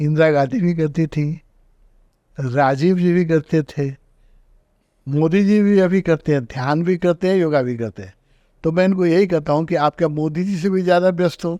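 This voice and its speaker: The man's voice sits high in pitch, with a dark, mellow tone. The background is quiet. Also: ordinary pitch variation, dry, close sound with no echo. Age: 80s+. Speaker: spiritual teacher. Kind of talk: interview.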